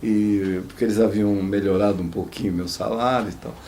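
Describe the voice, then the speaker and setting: A man's voice against noticeable background noise. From interior of São Paulo state, Brazil. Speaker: former footballer. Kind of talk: oral history interview answer. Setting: studio.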